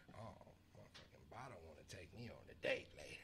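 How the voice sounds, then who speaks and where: Vocal fry runs through this man's voice. He moves along at a fairly quick pace. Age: 30s. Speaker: podcast guest. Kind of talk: casual chat. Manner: animated.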